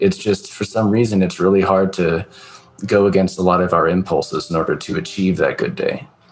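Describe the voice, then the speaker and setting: With music in the background, a speaker in an American accent talks at a moderate pace. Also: man. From US West Coast, California. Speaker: podcast host, military veteran. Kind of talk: casual chat.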